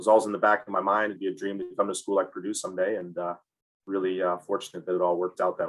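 A very fast man with a Midwestern American accent, fairly low in pitch, his intonation fairly even. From Michigan, Ann Arbor. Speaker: college soccer head coach. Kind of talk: interview. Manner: halting, many fillers.

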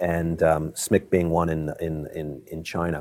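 Speaking with an American accent, this man has a very deep, low pitch. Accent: Baltimore accent, mostly burned off. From Maryland, Baltimore. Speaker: tech company CEO. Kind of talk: interview. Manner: halting, many fillers.

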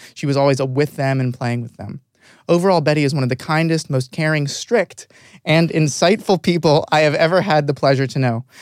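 On a very clean recording with a silent background, a man talks at a fairly quick pace in a fairly high pitch. He has a normal speaking voice with ordinary pitch variation. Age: 20s. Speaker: podcast host. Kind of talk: scripted introduction; casual interview.

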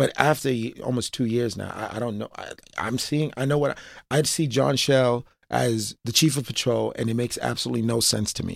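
In a New York accent, a man talks at a fairly quick pace with medium pitch and fairly even intonation, on a very clean recording with a silent background. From New York, Brooklyn (East Flatbush). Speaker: former police officer and reform advocate. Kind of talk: interview. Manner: halting, with frequent fillers and repetitions.

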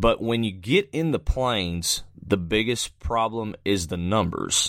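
This is a man talking. He has an Alabama accent. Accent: US Southern (Alabama). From central Alabama. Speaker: professional storm chaser. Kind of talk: casual interview.

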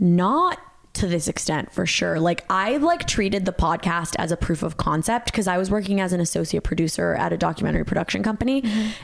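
With an American accent, a woman talks very fast at a medium pitch in an animated tone, her loudness very even despite noticeable background noise. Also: ordinary pitch variation. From Colombia, raised in the US from age seven. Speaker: podcast co-host. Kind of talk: casual chat. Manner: giggly, animated.

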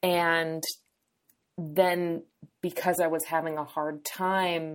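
A woman with an American accent and a plain, everyday voice speaks at a fairly low pitch with fairly even intonation, on a very clean recording with a silent background. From New Hampshire, US. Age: 30s. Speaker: dietitian and eating disorder specialist. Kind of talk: casual interview.

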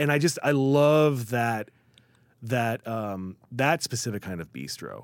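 A man's medium-pitched voice with an American accent, ordinary pitch variation and a very slow pace. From Chicago area and New York. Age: 40s. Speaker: writer. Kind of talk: casual chat. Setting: studio.

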